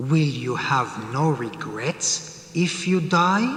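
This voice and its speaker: In a cartoonish character voice, a man speaks at a fairly high pitch and a very slow pace. A clear echo surrounds his voice. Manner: calm, questioning.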